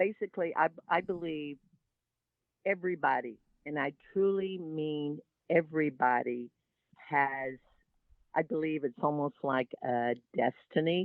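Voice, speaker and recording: A woman with a Texan accent, a very deep, low pitch, a fairly slow pace and long, frequent pauses. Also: ordinary pitch variation. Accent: Texas Southern. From Texas Gulf Coast. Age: 70s. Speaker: environmental activist and shrimp boat captain. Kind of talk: interview.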